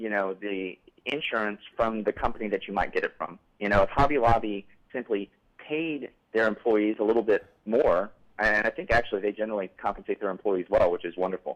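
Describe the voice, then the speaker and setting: The sound is dry and close, with no echo at all. A normal speaking voice talks fairly quickly, its pitch varying in an ordinary way. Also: man, fairly low pitch for a man. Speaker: call-in show host. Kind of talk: live call-in political talk show. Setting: TV studio.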